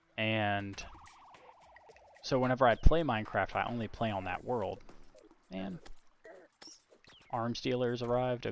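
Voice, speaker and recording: Soft-spoken, a man with an American accent talks at medium pitch and a moderate pace, with ordinary pitch variation, big swings in loudness and long, frequent pauses. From Virginia. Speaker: gaming streamer. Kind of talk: casual live-stream commentary. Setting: home live stream, quiet so family sleeps. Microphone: noise gate filter cutting out soft speech.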